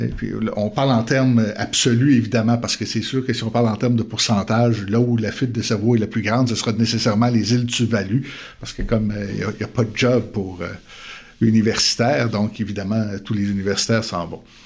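A man with a Quebec accent, medium pitch, monotone, flat intonation, and a fairly quick pace. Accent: Québécois. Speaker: theology professor and pastor. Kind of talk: interview conversation.

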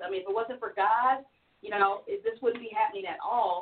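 With an American accent and a normal speaking voice, a woman speaks at a fairly high pitch with ordinary pitch variation. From US Midwest, Missouri. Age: 50s. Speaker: singer. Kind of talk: casual chat.

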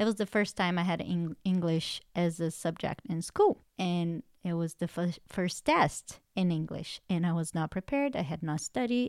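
A woman's fairly low voice with ordinary pitch variation at a moderate pace, in a very clean recording with a silent background and a dry, close sound with no echo. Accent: non-native. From outside the US, immigrated as an adult. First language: not English. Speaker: podcast co-host and coach. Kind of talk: faith-based self-help podcast chat.

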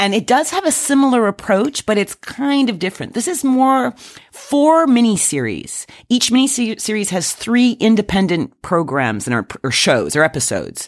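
Woman at a fairly high pitch with very wide pitch swings and a moderate pace. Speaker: podcast co-host. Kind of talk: casual chat. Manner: playful.

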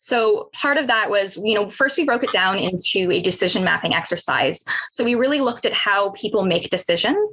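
A woman with a Canadian accent and fairly high pitch, talking at a fairly quick pace with hardly any pauses and very even loudness, over noticeable background noise. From Ontario, Canada (Pickering near Toronto). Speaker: securities regulator researcher. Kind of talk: webinar presentation.

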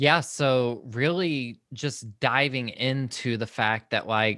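This is a man with a Southern US accent. The recording is very clean with a silent background, and his pitch varies in an ordinary way. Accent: Southern US (Georgia). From Georgia, US South (Social Circle, rural). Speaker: mental health and faith podcaster. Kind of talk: casual interview.

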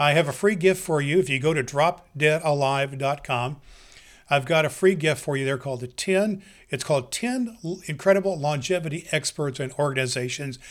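A plain, everyday voice from a man, fairly high-pitched, with ordinary pitch variation and a moderate pace, on a very clean recording with a silent background. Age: 60s. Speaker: podcast host. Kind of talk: solo podcast introduction.

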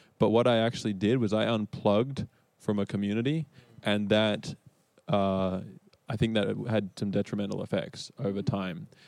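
With an Australian accent, a man speaks at a moderate pace and a fairly low pitch. His intonation is fairly even, on a very clean recording with a silent background. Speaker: church elder and evangelism director. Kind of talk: panel discussion.

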